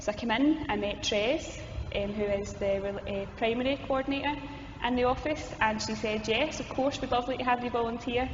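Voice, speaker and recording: A woman's high voice at a fairly quick pace with ordinary pitch variation, along with audible room echo and noticeable background noise. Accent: strong Glasgow. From Scotland, Glasgow. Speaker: youth ministry coordinator. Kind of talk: interview conversation. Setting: cathedral hall.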